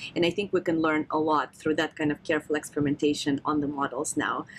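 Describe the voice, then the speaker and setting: Her voice has a very deep, low pitch. The woman speaks with a Russian accent. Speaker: neuroscientist. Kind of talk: podcast interview discussion.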